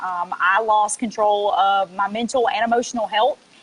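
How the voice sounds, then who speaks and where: A woman's fairly high voice with a Mississippi accent at a moderate pace, with fairly even intonation and noticeable background noise. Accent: Southern US (Mississippi). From US South, South Mississippi. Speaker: network marketing affiliate. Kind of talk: testimony. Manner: casual, many filler ums.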